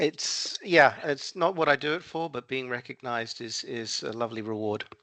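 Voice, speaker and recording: Speaking with an Australian accent, a man talks at a medium pitch and moderate pace with ordinary pitch variation. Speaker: software consultant and trainer. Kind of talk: interview. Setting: phone call. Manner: halting.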